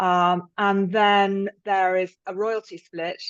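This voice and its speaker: A woman speaks with a British accent at a medium pitch, her intonation monotone and flat. The background is quiet, and the sound is dry and close with no echo. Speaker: thriller novelist. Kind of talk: interview. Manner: halting.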